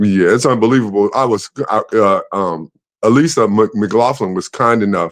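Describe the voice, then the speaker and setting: A man's fairly low pitch and ordinary pitch variation at a moderate pace, an ordinary speaking voice, dry and close with no echo over a quiet background. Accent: American. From Chicago, Englewood. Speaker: former basketball player and playwright. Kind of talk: interview.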